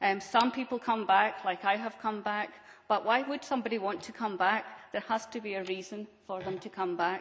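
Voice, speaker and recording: The speaker has a Scottish accent and a fairly quick pace. The intonation stays fairly even. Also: woman, medium pitch for a woman. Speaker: business owner on a panel. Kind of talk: panel discussion. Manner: hesitant, many fillers.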